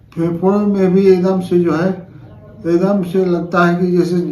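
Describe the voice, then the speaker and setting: A man speaks at a very slow pace in a high pitch for a man, with noticeable background noise behind him. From Ambikapur, Chhattisgarh, India. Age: 50s. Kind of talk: testimonial to camera.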